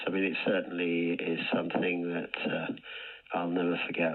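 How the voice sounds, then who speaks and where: A man speaks at a moderate pace in a very deep, low pitch, with noticeable background noise present. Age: 70s. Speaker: charity cyclist. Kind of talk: radio interview. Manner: halting.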